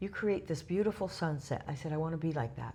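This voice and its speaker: Somewhat breathy with a dark, mellow tone, a woman speaks at a very fast pace with ordinary pitch variation amid audible room echo. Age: 60s. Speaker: club communications director. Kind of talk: interview. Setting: user conference.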